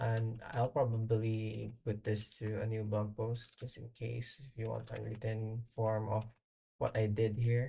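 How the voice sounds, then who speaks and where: The speaker has a non-native accent and goes at a fairly slow pace. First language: not English. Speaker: software developer. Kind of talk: screen-recorded tutorial. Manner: halting, many fillers.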